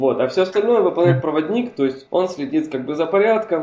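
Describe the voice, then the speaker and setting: Here is a man with a plain, everyday voice. He speaks at a fairly quick pace. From Hungary. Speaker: podcast guest, film enthusiast. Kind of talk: casual chat.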